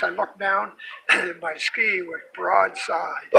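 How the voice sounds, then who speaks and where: A man speaks very slowly while noticeable background noise is heard. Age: 70s. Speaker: retired snowmobile racer. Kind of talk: interview. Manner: halting, many fillers.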